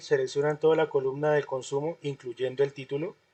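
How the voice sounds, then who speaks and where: A man speaks in a fairly high voice with fairly even intonation. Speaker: university lecturer. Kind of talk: online class lecture. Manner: fast.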